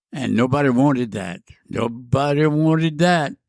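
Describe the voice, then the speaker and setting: Speaking at a fairly slow pace in a Cajun accent, the voice shows ordinary pitch variation in a very clean recording with a silent background. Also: man. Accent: Cajun Louisiana English. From Southwest Louisiana. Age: 90s. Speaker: war veteran, former freight train hobo. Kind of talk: interview answer, storytelling.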